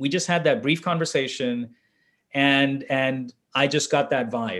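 A man talks at a fairly slow pace in a plain, everyday voice with a fairly high pitch and ordinary pitch variation. The recording is very clean, with a silent background. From India (Delhi), moved to Los Angeles at 13. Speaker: venture capitalist. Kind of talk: interview conversation. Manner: repetitive restarts, frequent fillers.

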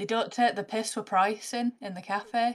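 A woman with a northern English accent at a moderate pace. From northern England. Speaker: comedian. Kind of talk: casual chat.

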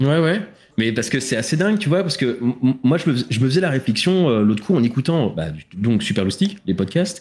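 Speaking at a fairly quick pace, a man with a medium-pitched, somewhat breathy voice holds a very even loudness while his pitch swings very widely. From France, Île-de-France (Essonne). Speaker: podcast host. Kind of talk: casual chat. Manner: halting.

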